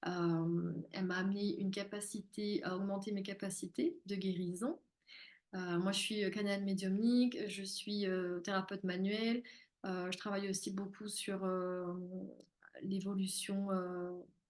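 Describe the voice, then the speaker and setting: At a fairly slow pace, a woman speaks with medium pitch and monotone, flat intonation. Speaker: spiritual therapist and medium. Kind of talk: live-streamed masterclass. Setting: live stream.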